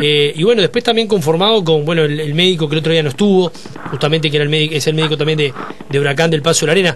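A man's fairly high-pitched voice at a very fast pace, very even in loudness, over light background noise. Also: ordinary pitch variation. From Uruguay. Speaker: sports radio host. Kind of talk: radio interview. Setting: radio studio. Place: studio. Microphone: studio mic.

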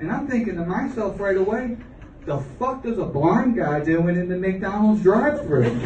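A man with an American accent talks at a moderate pace with lively intonation. Light background noise and audible room echo are present. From Florida, Deep South US. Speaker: stand-up comedian. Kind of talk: live stand-up comedy set. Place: stage. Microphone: camera far.

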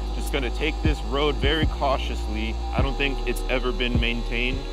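Clear music plays in the background of a dry sound with no echo. The pace is moderate. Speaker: motovlogger. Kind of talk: casual vlog chat. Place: motorbike.

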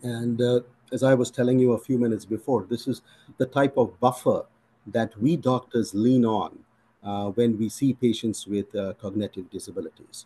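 A man speaks at a medium pitch and moderate pace, with a dark, mellow tone. His intonation is fairly even, broken by long, frequent pauses. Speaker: physician. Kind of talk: interview Q&A. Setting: video call. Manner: formal. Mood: reflective, earnest. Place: home room. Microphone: video call.

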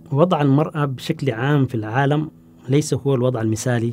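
A man speaks at a fairly quick pace in a medium pitch with ordinary pitch variation, over light background noise. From Sudan. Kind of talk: interview. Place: studio. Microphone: lapel.

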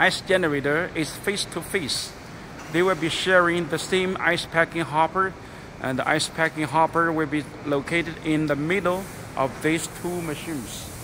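Noticeable background noise runs under the voice of a man. He speaks at a moderate pace with fairly even intonation. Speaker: factory seller showing machines. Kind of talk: product walkthrough commentary. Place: factory. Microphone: phone near.

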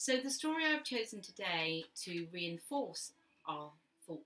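A natural voice reads a passage aloud.

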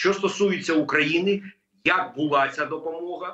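Audible room echo surrounds a man as he speaks. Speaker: remote guest. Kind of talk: interview answer. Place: home room.

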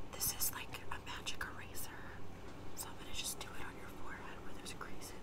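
A soft-spoken woman talks at a fairly quick pace against loud background noise. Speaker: role-play makeover host. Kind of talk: ASMR-style role-play talk. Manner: soft close ASMR roleplay voice. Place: home room. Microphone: earbuds.

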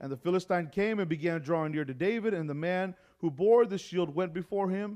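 Against quiet surroundings, a man talks. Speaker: preacher. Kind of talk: sermon. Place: church.

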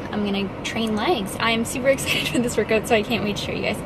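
A woman is heard in a dry sound with no echo, over noticeable background noise. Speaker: fitness vlogger. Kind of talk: casual vlog chat. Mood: cheerful, laughing. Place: car. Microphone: phone near.

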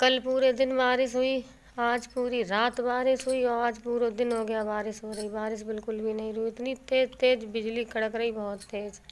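Flat and monotone in intonation, a woman speaks at a fairly slow pace. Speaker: home vlogger. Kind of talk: casual vlog chat. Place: home room. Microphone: phone near.

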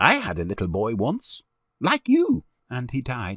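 A man's put-on character voice at medium pitch, with very wide pitch swings, a fairly bright tone and a fairly slow pace, in a dry, close sound with no echo on a very clean recording with a silent background

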